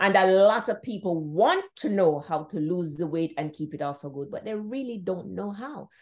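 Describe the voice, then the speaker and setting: A woman's plain, everyday voice at medium pitch, moderate pace with hardly any pauses, lively intonation and big swings in loudness over a quiet background. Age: 60s. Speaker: author and registered nurse. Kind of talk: interview.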